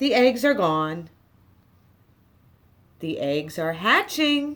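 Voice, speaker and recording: A woman's put-on character voice, fairly high in pitch, very slow, with very wide pitch swings. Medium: read story. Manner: calm, matter-of-fact.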